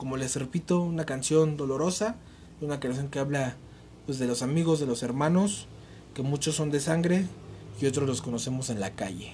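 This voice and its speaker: Here is a man with an ordinary speaking voice and a fairly high pitch. He keeps a moderate pace. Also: ordinary pitch variation. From Mexico, Nezahualcóyotl (State of Mexico). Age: 20s. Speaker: podcast host. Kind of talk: casual monologue. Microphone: cheap makeshift mic, pen and notebook noises.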